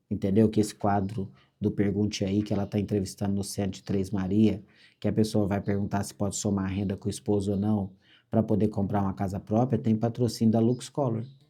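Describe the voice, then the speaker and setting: The speaker is a man with a fairly low pitch. He moves along at a fairly quick pace. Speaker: construction franchise executive. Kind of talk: motivational business meeting talk. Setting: meeting with franchisees. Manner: fast; animated.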